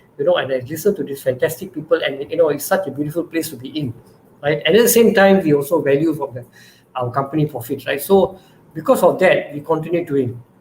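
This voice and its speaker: A man speaks at a very fast pace. Noticeable background noise can be heard. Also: fairly high pitch for a man, ordinary pitch variation. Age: 60s. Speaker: startup founder. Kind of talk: panel talk. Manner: repetitive, stammering starts.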